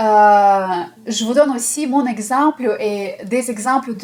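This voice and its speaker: Over noticeable background noise, a woman with a Russian accent speaks in a fairly high pitch with lively intonation. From Russia/Ukraine. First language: Russian (speaking French). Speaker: esoteric numerology teacher. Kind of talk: video talk to viewers. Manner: hesitant with fillers.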